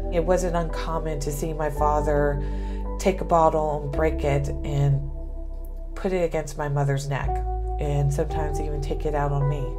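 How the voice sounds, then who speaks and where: A woman at a moderate pace with clear music in the background. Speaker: guest. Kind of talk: personal story told to students. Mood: serious, emotional recollection. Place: office. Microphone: lapel.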